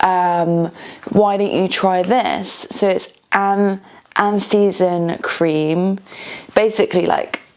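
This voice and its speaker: In a British accent, a woman speaks at medium pitch and a very slow pace. Her intonation is monotone and flat, and her loudness is very even. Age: 30s. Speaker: vlogger. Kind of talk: personal vlog testimony. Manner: halting, many fillers.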